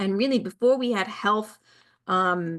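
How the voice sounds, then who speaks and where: A woman at medium pitch talks in a Long Island accent with an animated tone. Her pace is moderate, and her pitch variation is ordinary. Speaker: wellness coach. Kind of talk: casual talk to camera. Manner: rambling, with fillers and restarts.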